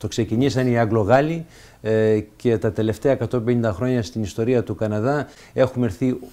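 With a dark, mellow tone, a man speaks at a medium pitch and a fairly slow pace, his pitch varying in an ordinary way. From Canada, Montreal, Greek immigrant family; Canada. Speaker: senator. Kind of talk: interview. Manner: halting, frequent fillers and repetitions. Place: home room.

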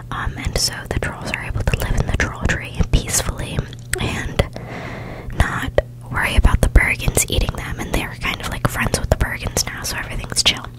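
Soft-spoken and whispering at a moderate pace, the voice sounds dry with no echo against loud background noise. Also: woman. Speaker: ASMR creator. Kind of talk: soft-spoken ASMR storytelling. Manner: soft close-mic ASMR whisper. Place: home room. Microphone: studio mic.

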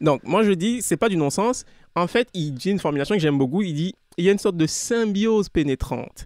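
Lively in intonation, a man speaks at a fairly quick pace in a high voice. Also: dry, close sound with no echo. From Togo. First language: Anufo (speaking French). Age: young. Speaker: author. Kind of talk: interview.

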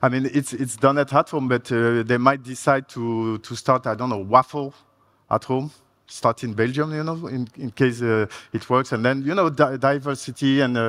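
Against a quiet background, a man with a French accent talks at a moderate pace, his pitch varying in an ordinary way. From France. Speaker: software architect; conference presenter. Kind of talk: conference talk. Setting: stage with audience. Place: hall.

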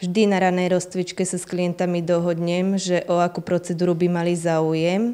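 Her tone is dark and mellow, with a fairly low pitch for a woman. She talks at a moderate pace. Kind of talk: interview answer. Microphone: handheld.

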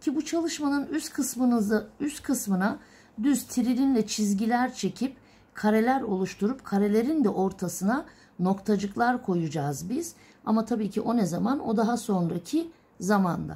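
The speaker is a woman with a somewhat breathy voice. Her pace is moderate. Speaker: illumination artist teacher. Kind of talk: tutorial. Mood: calm, patient. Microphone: phone near.

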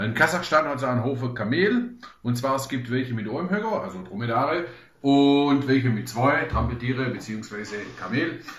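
In a Swabian accent, a man speaks at a moderate pace, with audible echo from the room. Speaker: travel blogger. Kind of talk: casual talk to camera, food tasting. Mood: relaxed, humorous. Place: home room. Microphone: camera far.

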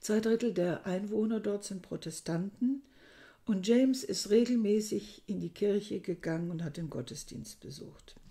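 A woman speaks at a moderate pace with ordinary pitch variation and big swings in loudness. Her voice is somewhat breathy, with a dark, mellow tone. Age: 60s. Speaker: book reviewer. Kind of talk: book review monologue. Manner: hesitant, with frequent fillers. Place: home room. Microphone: webcam.

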